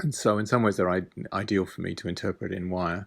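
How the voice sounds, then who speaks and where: Very deep, low male voice in a British accent, fairly quick pace, very clean recording with a silent background. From UK. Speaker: artist. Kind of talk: artist talk about own work.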